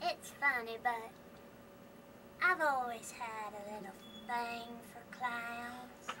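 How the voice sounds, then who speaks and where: A female-sounding voice in a put-on character voice, high in pitch, speaks at a very slow pace with long, frequent pauses. Background noise is clearly heard. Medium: audio drama. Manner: flirtatious.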